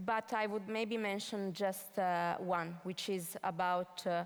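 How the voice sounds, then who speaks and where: This woman speaks with an Italian accent. Her pace is fairly slow. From northern Italy, Piedmont. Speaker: event moderator. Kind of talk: moderated panel discussion. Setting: stage with audience.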